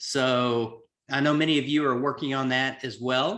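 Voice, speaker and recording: With a Southern US accent, a man speaks at a medium pitch in a bright, sharp tone. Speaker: executive coach. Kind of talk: webinar presentation.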